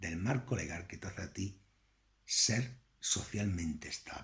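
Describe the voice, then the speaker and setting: In a strong Andalusian accent, a man talks with lively intonation, a fairly low pitch and a somewhat breathy sound. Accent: thick Andalusian. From Andalusia, Spain. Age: 50s. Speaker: political commentator. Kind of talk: political lecture. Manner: conversational.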